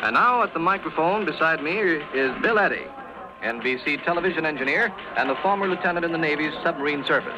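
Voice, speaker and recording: A high-pitched man at a fairly quick pace, with ordinary pitch variation, very even loudness and music in the background. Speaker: radio news announcer. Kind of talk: old-time radio news broadcast. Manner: formal, crisp.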